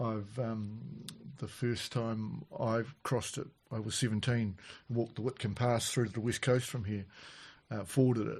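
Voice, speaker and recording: With a New Zealand accent, a man speaks at a moderate pace in a medium pitch, his intonation fairly even and his voice somewhat breathy. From New Zealand, Canterbury. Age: 60s. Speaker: farmer. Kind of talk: casual chat. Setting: on farm.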